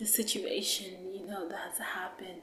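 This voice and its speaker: Through noticeable background noise and audible room echo, a woman speaks at a medium pitch in a monotone, flat intonation. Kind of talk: personal testimony. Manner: slow; halting, many fillers.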